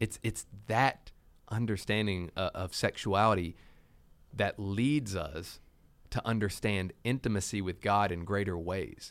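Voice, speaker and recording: A man with an unremarkable speaking voice talks at a fairly low pitch and a fairly slow pace. His pitch varies in an ordinary way on a very clean recording with a silent background. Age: 30s. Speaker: church podcast co-host. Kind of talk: podcast discussion on faith topics.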